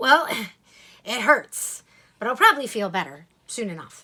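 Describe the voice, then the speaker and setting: A woman puts on a raspy character voice pitched high. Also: moderate pace. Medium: read story.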